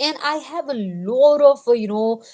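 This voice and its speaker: The speaker is a woman with a non-native accent. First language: not English. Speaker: live streamer, motivational talk. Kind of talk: casual motivational livestream monologue. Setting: live stream. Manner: halting, many fillers (uh, you know).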